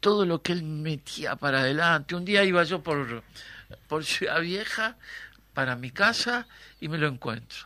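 At a very slow pace, a man speaks with a fairly high pitch and a bright, sharp tone. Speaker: theatre actor and director. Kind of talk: interview.

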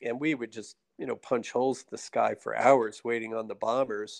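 An ordinary speaking voice with an American accent and ordinary pitch variation comes through dry and close, with no echo. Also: man. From New Jersey. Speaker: retired fighter pilot, ophthalmologist and state politician. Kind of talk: casual interview.

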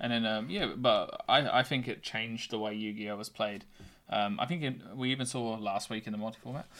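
Here is a plain, everyday voice from a man at medium pitch, talking at a moderate pace with fairly even intonation. The recording is very clean, with a silent background. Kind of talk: casual chat. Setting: in person, studio.

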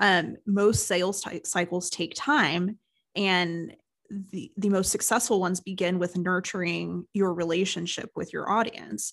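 Speaking at a fairly slow pace over a quiet background, a woman has an ordinary speaking voice with ordinary pitch variation. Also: medium pitch for a woman. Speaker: marketing agency owner and podcast co-host. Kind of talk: casual business chat. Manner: conversational, laughs often.

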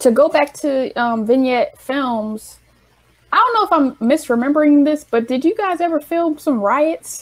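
In an American accent, a woman speaks at a high pitch and a moderate pace with lively intonation. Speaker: interviewer. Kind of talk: casual interview.

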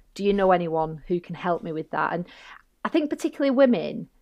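The pace is moderate. The speaker has a Lancashire accent. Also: woman. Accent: northern English (Bolton). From northern England. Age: 40s. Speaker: barrister and safeguarding consultant. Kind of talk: casual interview chat.

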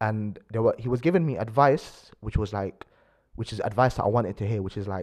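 Against a quiet background, a man with a London accent and fairly low pitch talks at a fairly quick pace with ordinary pitch variation. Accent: London multicultural English. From London (Acton, west London). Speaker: university student, aspiring lawyer. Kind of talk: casual chat.

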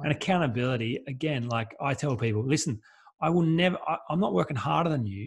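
This man's voice is somewhat breathy. He talks at a very fast pace. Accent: Australian. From Australia, rural New South Wales. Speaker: life coach. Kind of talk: interview.

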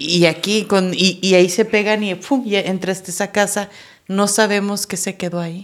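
A woman's monotone, flat delivery in a Mexican accent. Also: medium pitch for a woman, moderate pace. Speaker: podcast host. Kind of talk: casual chat.

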